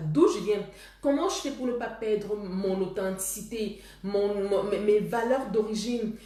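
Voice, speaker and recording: With noticeable background noise and audible room echo, a woman of medium pitch talks at a fairly slow pace with ordinary pitch variation. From Cameroon. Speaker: love coach. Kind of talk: live stream talk with viewers. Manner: halting, with repetitions.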